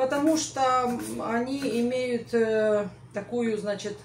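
There is light background noise and audible room echo around this woman's voice. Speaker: home cooking vlogger. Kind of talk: casual cooking vlog chat. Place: kitchen. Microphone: camera far.

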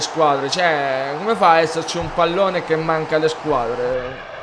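Noticeable background noise sits behind a man with a fairly high pitch. He speaks fairly slowly, with ordinary pitch variation. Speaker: gaming youtuber. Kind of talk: casual video game review to camera.

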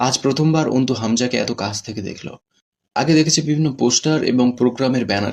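Against a quiet background, the clip is read aloud in a natural voice with ordinary pitch variation.

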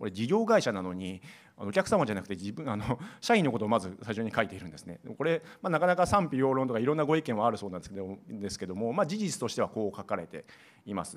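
At a very fast pace, a man's voice swings widely in pitch and shifts greatly in loudness. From Gifu, Japan. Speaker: airline business process staff, non-engineer; presenter. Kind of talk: conference seminar presentation. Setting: seminar hall with audience at an expo. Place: hall. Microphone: podium.

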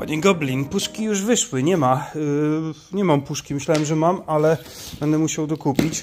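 Faint music plays in the background. A man talks at a moderate pace with a fairly high pitch for a man. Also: ordinary pitch variation. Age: 30s. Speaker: YouTuber, camper van builder; van builder vlogger. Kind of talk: casual vlog. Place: garage. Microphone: phone near.

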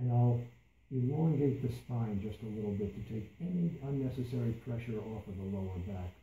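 A man with a somewhat breathy, dark, mellow tone and medium pitch speaks amid light background noise and audible room echo. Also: ordinary pitch variation, moderate pace. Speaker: meditation instructor. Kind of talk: guided meditation. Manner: repeats key phrases for emphasis. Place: meeting room. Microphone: camera far.

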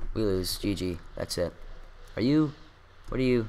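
A man at a moderate pace, fairly low in pitch, with very wide pitch swings. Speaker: gaming video creator. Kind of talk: casual gameplay commentary. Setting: home recording, gameplay screen capture. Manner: jokey, self-deprecating, animated.

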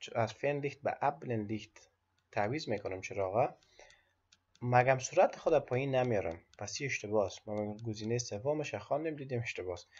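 At medium pitch and a moderate pace, a man is talking. The voice sounds somewhat breathy and has ordinary pitch variation. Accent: Afghan. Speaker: driving theory tutor. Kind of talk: instructional explanation mixing German quotes.

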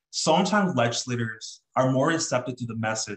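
A somewhat breathy man in an American accent against a quiet background. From Southern California. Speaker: student government president. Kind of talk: presentation. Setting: video call. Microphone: webcam.

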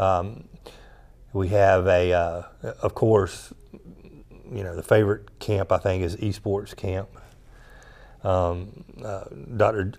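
A man with a Southern US accent speaks very slowly in a fairly low, monotone, flat voice. Long pauses come often. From US South, South Georgia; Georgia. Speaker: director of continuing education. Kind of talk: interview. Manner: halting, many fillers. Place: studio. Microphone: lapel.

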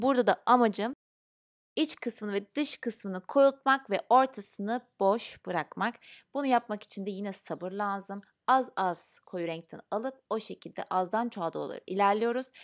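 A woman's voice, pitched fairly high with ordinary pitch variation, comes through with a quiet background. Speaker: beauty vlogger. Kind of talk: makeup tutorial. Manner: fast; casual, chatty. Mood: calm, patient, friendly.

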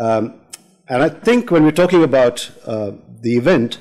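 Over a quiet background, a man talks at a moderate pace in a dark, mellow tone with ordinary pitch variation. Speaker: panel chair. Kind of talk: event introduction. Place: hall. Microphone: podium.

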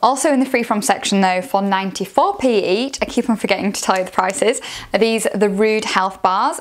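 At a moderate pace, the speech carries ordinary pitch variation over a quiet background. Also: woman. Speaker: food vlogger. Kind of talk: casual product review. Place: home room. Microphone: lapel.

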